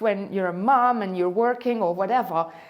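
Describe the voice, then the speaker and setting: Noticeable background noise sits behind a woman's medium-pitched voice. Her pitch varies in an ordinary way. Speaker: hula hoop instructor. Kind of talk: motivational talk to camera.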